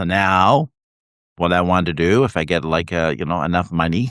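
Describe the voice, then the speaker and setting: A man with a very deep, low voice and vocal fry speaks at a fairly slow pace, with a dry, close sound, no echo and a quiet background. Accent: Canadian. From Canada. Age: 60s. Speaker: writer and livestream host. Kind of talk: casual live chat. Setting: live video stream. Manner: halting, many fillers.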